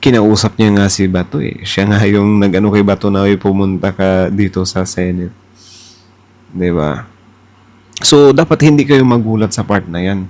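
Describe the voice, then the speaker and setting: Using a plain, everyday voice, a man talks at a moderate pace with a fairly low pitch and ordinary pitch variation. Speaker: political reaction YouTuber. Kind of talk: casual reaction commentary.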